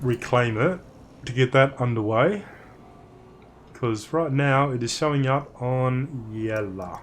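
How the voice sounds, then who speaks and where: Speaking in an Australian accent, a man with a medium-pitched voice talks at a fairly slow pace with ordinary pitch variation and long, frequent pauses. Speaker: game streamer. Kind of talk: live gameplay stream commentary.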